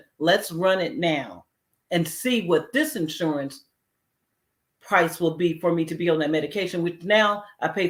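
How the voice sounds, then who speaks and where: In a very clean recording with a silent background, a woman speaks in an unremarkable speaking voice, fairly low in pitch with ordinary pitch variation. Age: 60s. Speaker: heart disease survivor sharing story. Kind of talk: testimony. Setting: community health event.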